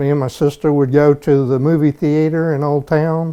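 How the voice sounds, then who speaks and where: With a Southern US accent, a man with a fairly high pitch and a dark, mellow tone speaks at a moderate pace. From US South, Georgia (Conyers, near Atlanta). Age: 60s. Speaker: local resident. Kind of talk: interview, personal recollections. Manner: conversational, some hesitations.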